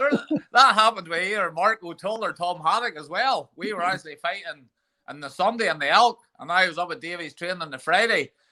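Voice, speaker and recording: A man talks very fast in a raised, projected voice that is high-pitched and bright and sharp, with ordinary pitch variation. His loudness swings widely in a very clean recording with a silent background. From Northern Ireland, Ballymena. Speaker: MMA coach. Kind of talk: casual chat.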